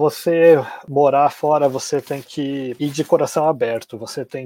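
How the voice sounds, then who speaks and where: In a dry, close sound with no echo, a man speaks at a fairly high pitch with a dark, mellow tone and fairly even intonation. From Brazil, Santa Catarina. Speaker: travel blogger, expatriate. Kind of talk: interview.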